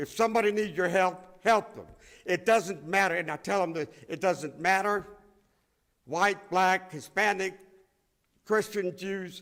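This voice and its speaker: Recorded very cleanly against a silent background, a high-pitched man speaks at a fairly slow pace with ordinary pitch variation. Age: 80s+. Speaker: Holocaust survivor speaker. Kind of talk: testimony. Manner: emphatic, repetitive.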